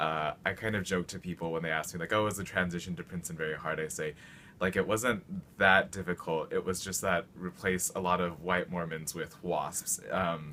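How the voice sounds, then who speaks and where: With a western US accent, a man speaks at moderate pace in a very deep, low pitch and a bright, sharp tone. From Utah (Salt Lake City). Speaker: university student, residential college adviser. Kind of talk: personal testimony.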